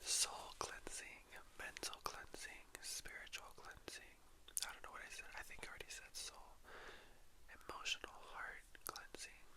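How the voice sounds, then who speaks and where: Noticeable background noise surrounds a whisper that moves at a fairly slow pace. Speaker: drag performer. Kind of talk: ASMR intro talk to camera. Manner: whispered, soft-spoken.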